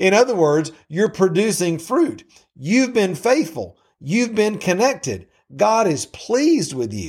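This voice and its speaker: A man with a Southern US accent talks fairly slowly in a high voice with very wide pitch swings, on a very clean recording with a silent background. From US South. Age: 50s. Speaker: Bible teacher. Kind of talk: Bible teaching. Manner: halting.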